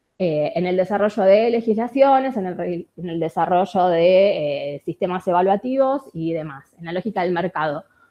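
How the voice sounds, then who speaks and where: Hardly pausing, a woman talks with lively intonation. Her pitch is medium. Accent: Rioplatense. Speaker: researcher and industrial designer. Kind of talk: conference talk. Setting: conference with audience. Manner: fast.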